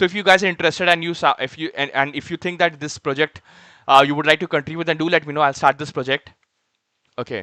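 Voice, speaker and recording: Very fast and fairly high-pitched, a man speaks with fairly even intonation and a bright, sharp tone in a dry, close sound with no echo. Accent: Indian. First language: Hindi. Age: 20s. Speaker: software developer streamer. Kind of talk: live coding stream chat. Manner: hesitant, many fillers.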